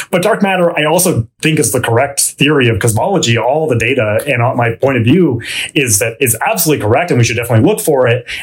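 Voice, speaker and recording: With a Canadian accent, a man of medium pitch rattles along at a very fast pace with hardly any pauses, lively intonation and very even loudness, over noticeable background noise. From Vancouver, Canada. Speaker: theoretical physicist, professor. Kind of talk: interview conversation. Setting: studio.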